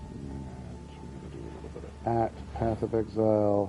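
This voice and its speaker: Over music in the background and with audible room echo, a man with a very deep, low pitch speaks at a fairly slow pace with lively intonation. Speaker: gaming streamer. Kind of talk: live gameplay stream. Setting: live stream. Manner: casual, rambling banter.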